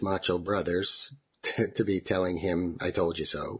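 A somewhat breathy man with a Canadian accent talks at a fairly slow pace. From Ontario. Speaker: family member of conversion therapy survivor. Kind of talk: recorded interview, personal story.

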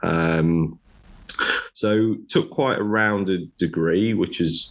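Against a quiet background, a man with a Sunderland accent speaks with ordinary pitch variation. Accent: Sunderland (Mackem) English. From northeast England, Sunderland. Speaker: construction director and author. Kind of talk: casual interview.

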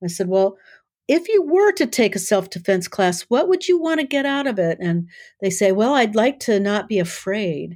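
A woman with an American accent talks at a moderate pace, her medium pitch moving in very wide swings. The recording is very clean, with a silent background. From US Midwest, South Dakota. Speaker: author and self-defense teacher. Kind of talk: interview conversation.

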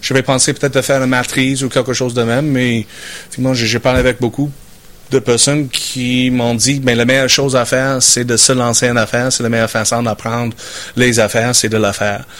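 A man speaks at a medium pitch and a fairly quick pace, his intonation monotone and flat and his loudness very even, over noticeable background noise. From Saskatchewan, Canada (rural farm). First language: English (speaking French). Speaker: business owner. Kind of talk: interview. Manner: halting, repeats words.

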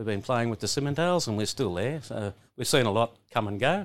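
The speaker has a rural Australian accent and lively intonation. The pace is fairly quick. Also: man. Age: 60s. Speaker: cattle stud owner and farmer. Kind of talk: casual interview chat. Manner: halting, repeats words.

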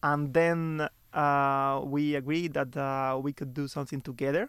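A man at a fairly high pitch with a Spanish accent, very slow pace and fairly even intonation, in a very clean recording with a silent background. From Cuba (Santa Clara). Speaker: software researcher. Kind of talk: interview. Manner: halting, many fillers.

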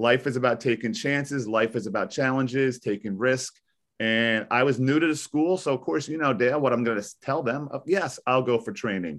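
In a plain, everyday voice with an American accent, a man talks at a fairly quick pace and medium pitch with ordinary pitch variation against a quiet background. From US Northeast (New Jersey). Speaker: high school teacher. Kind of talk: interview. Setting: video call.

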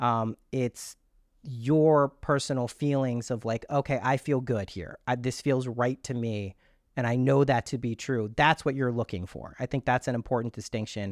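The clip carries a plain, everyday voice with fairly even intonation. The sound is dry and close, with no echo. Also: man, medium pitch for a man, moderate pace. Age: 40s. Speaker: manifestation teacher and guest. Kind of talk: casual chat.

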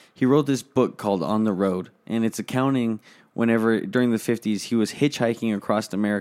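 A man speaks at a fairly quick pace with ordinary pitch variation and medium pitch, in an unremarkable speaking voice. The recording is very clean, with a silent background. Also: very even loudness. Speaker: podcast co-host.

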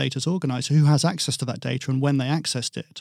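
Delivery comes very fast with fairly even intonation and an English accent. The sound is dry and close with no echo. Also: man. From England. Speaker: technology company executive. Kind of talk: interview.

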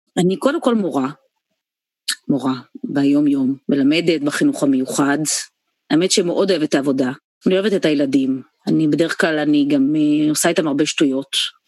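At a very deep, low pitch, a woman talks with very even loudness, ordinary pitch variation, a moderate pace and long, frequent pauses. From Israel, Haifa. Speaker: puppeteer and theatre actress. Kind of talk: interview. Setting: video call.

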